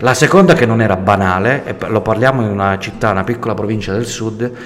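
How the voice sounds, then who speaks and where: Noticeable background noise runs through the clip. A man talks at a fairly quick pace. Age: 40s. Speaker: entrepreneur and engineer. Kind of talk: radio interview. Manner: hesitant fillers.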